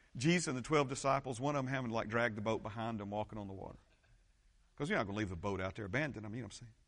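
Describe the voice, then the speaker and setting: A very fast-talking man at a medium pitch, with an animated tone, lively intonation, big swings in loudness and audible room echo. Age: 50s. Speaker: pastor. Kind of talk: sermon.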